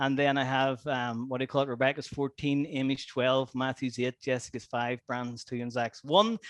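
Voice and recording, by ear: At a moderate pace, a man talks at medium pitch with a fairly bright tone and little pitch movement.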